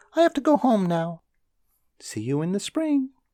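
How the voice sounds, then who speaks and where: A squeaky put-on character voice sits at a fairly high pitch and swings very widely. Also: moderate pace. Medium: read story. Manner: quick, chatty.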